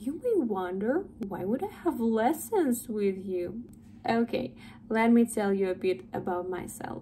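A woman with a Russian accent speaks fairly slowly in a dark, mellow, somewhat breathy tone, her intonation lively over light background noise. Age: 20s. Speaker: English tutor. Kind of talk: sales pitch. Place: home room. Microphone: phone near.

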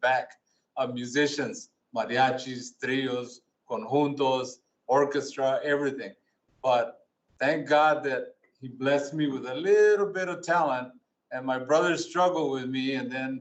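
With an American accent, a man speaks in an unremarkable speaking voice at a moderate pace and fairly high pitch, keeping his intonation fairly even. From Tucson, Arizona. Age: 60s. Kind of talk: speech of thanks. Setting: city council meeting.

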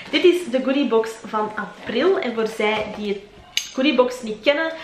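A woman with a Flemish accent speaks at a fairly slow pace in a high pitch with ordinary pitch variation. There is light background noise and audible room echo. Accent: Flemish Dutch. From Belgium. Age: 20s. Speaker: lifestyle YouTuber. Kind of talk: casual vlog monologue. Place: home room.

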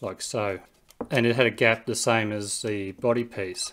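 Against a quiet background, a man speaks at a moderate pace with monotone, flat intonation. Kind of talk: tutorial. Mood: puzzled, calm. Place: home room.

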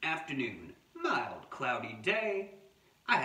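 The passage is read aloud. The delivery is plain.

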